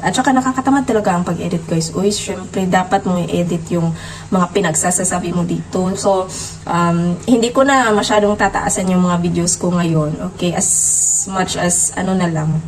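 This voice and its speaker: Against noticeable background noise, a woman speaks at a medium pitch and a moderate pace with ordinary pitch variation. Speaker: vlogger. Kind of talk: casual vlog talk. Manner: halting, many fillers.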